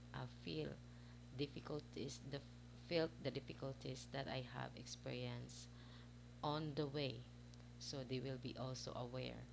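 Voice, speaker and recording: With a Visayan accent, a woman talks at a fairly slow pace with long, frequent pauses. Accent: Filipino (Bisaya) accent in English. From Philippines, Visayas. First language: Cebuano (Bisaya). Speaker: parent vlogger. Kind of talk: casual vlog talk to camera. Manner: halting, many fillers.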